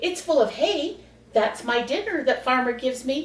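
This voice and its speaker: A woman puts on a character voice with a high pitch. She keeps a moderate pace. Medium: read story.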